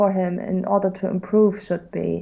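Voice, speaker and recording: A woman speaks with a German accent. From Germany. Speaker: guest art critic. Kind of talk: art critique on livestream. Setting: livestream. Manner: halting, many fillers.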